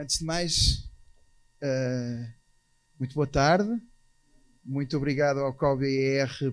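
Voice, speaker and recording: This man speaks at a fairly high pitch with a European Portuguese accent. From Portugal. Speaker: architects' association president. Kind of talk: conference talk. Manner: hesitant, with fillers.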